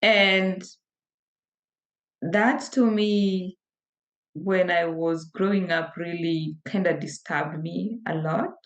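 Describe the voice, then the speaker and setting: A woman at medium pitch, very slow pace, with long, frequent pauses and ordinary pitch variation. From rural Kenya. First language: a Kenyan language. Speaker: deaconess. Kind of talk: personal testimony in a live interview.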